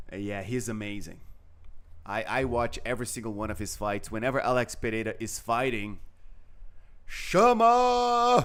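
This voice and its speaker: Long, frequent pauses mark a man's speech at a moderate pace. Room echo is audible. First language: not English. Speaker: chess commentator. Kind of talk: live commentary. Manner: halting.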